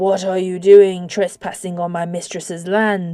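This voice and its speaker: A woman puts on a character voice at medium pitch. Her intonation is monotone and flat, her pace fairly slow. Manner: hostile, demanding.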